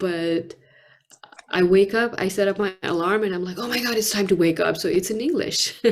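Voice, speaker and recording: With a Nepali accent, a woman speaks at a moderate pace with ordinary pitch variation. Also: medium pitch for a woman. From Nepal (Kathmandu). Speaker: poet and author. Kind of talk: interview.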